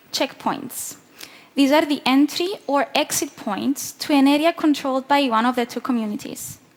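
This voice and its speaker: A woman with a Greek accent, high-pitched with ordinary pitch variation, at a moderate pace over noticeable background noise. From southern Cyprus. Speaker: peacebuilding NGO worker. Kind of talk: conference talk.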